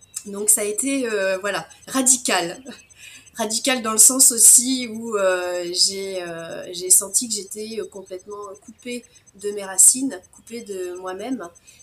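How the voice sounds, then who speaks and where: A woman speaks at a very slow pace, medium in pitch with ordinary variation. Noticeable background noise is present. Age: 40s. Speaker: naturopath. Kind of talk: interview. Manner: spontaneous, outspoken; hesitant, many fillers. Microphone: sound problems in the first minutes.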